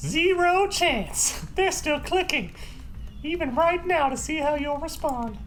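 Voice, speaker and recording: This put-on character voice sits at a high pitch and moves at a fairly slow pace over clear background noise. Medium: game stream. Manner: dry.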